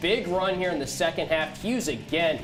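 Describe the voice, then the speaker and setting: Music plays in the background as a man speaks at a fairly quick pace. His pitch is high and his intonation lively. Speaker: sports broadcaster. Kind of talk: TV sports highlights hosting.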